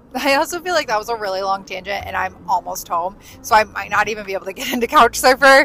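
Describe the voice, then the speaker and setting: Over noticeable background noise, a woman speaks at a very fast pace with lively intonation. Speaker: podcast host. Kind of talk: casual monologue. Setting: in a car. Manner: loud.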